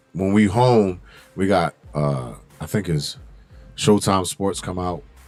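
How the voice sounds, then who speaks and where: Over music in the background, a man with a very deep, low voice talks at a very slow pace with lively intonation. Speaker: fitness gym founder and trainer. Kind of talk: casual podcast interview, storytelling. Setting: live stream podcast studio. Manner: loud; animated.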